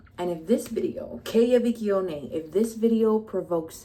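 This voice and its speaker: Noticeable background noise surrounds a woman speaking at a fairly slow pace. Her tone is animated, with ordinary pitch variation. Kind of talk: personal vlog monologue.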